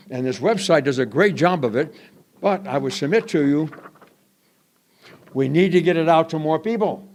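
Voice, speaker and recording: At a moderate pace, a man with a fairly high voice swings very widely in pitch. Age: 80s+. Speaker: public commenter at a school board meeting. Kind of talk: public comment. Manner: animated.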